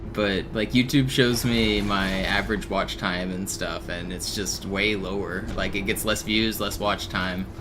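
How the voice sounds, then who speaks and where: Music plays in the background, with audible room echo. A man with a fairly low pitch and fairly even intonation talks with hardly any pauses. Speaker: video game streamer. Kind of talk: casual live stream chat. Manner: fast.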